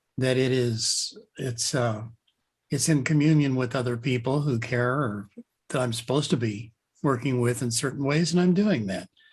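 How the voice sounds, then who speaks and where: A man speaks at a moderate pace in a somewhat breathy, medium-pitched voice with ordinary pitch variation. The background is quiet. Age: 70s. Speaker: author and leadership consultant. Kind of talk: interview conversation. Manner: reflective, thoughtful.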